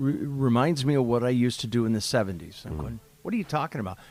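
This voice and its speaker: A man speaks at a fairly quick pace in a normal speaking voice. His pitch is medium, with ordinary variation. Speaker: podcast host and former radio announcer. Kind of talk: casual interview, storytelling.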